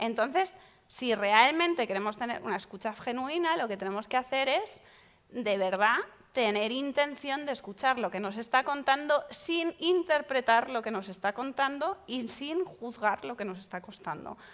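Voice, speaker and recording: A woman with a high pitch speaks at a moderate pace, her tone animated and her intonation lively. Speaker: psychologist leading a workshop. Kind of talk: workshop talk.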